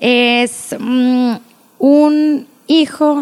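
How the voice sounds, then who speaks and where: This is a woman speaking. Her pitch is high. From Agua Prieta, Sonora, northern Mexico. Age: 20s. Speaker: pediatric dentist. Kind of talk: casual interview chat.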